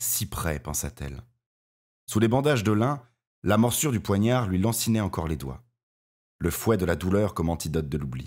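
Theatrical in tone, a man with a very deep, low pitch and vocal fry speaks at a moderate pace with very wide pitch swings and long, frequent pauses, on a very clean recording with a silent background. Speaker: audiobook narrator. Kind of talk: dramatic audiobook narration, read aloud with character voices. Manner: theatrical, expressive, varying tone for each character; measured, gravely paced storytelling.

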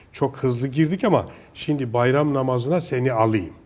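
A man with a medium pitch speaks in a somewhat breathy voice with lively intonation. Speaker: TV show host. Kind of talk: casual interview chat. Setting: studio.

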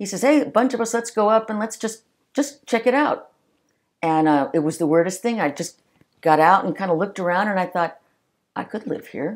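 An unremarkable speaking voice from a woman with an American accent, medium pitch, lively intonation, and a fairly quick pace. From Los Angeles area, California (early childhood Long Island, New York). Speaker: retired police officer. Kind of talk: interview storytelling.

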